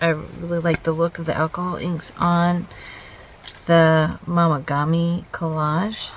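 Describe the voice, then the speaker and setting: Soft-spoken and fairly low-pitched, a woman speaks at a fairly slow pace. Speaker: artist. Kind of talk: casual art process narration.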